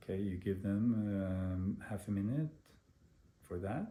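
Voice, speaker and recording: A man with a fairly low pitch and a dark, mellow, somewhat breathy tone talks at a fairly slow pace with ordinary pitch variation, with audible room echo. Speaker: meditation teacher. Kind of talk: lecture.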